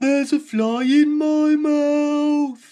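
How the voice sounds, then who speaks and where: A man speaks loudly in a put-on character voice, his extremely high pitch held in a flat, monotone delivery. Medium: read story.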